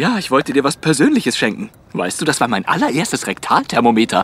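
A man puts on a whiny character voice, fairly high in pitch and swinging very widely. He speaks very fast. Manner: nervous, whiny.

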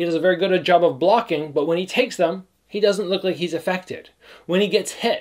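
A man speaks in a high-pitched voice with ordinary pitch variation. The background is quiet. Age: 30s. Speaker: kickboxer and youtuber. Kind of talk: fight breakdown commentary. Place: home room.

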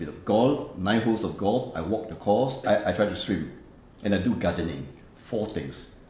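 A man with lively intonation and a fairly low pitch, plus audible room echo. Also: moderate pace. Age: 70s. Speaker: retiree. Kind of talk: interview answer. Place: office.

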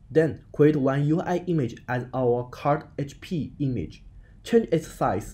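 Very slowly and somewhat breathily, a man talks at a fairly high pitch with a dark, mellow tone and ordinary pitch variation. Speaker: game development tutorial creator. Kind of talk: tutorial.

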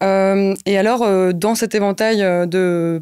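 A woman speaks in a monotone with flat intonation. The background is quiet. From Brussels, Belgium. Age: 20s. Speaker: NGO project officer; guest. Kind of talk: interview. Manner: hesitant, many fillers. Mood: calm, earnest. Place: studio. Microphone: studio mic.

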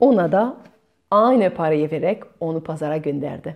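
A woman speaks at a fairly quick pace and low pitch, with lively intonation and vocal fry.

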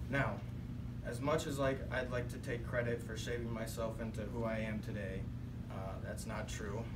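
Through loud background noise, a man talks at a moderate pace. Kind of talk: prepared speech. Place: classroom. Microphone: camera far.

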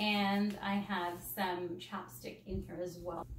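A woman's very slow speech, with audible room echo and light background noise. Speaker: parent vlogger. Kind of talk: casual vlog chat. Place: home room.

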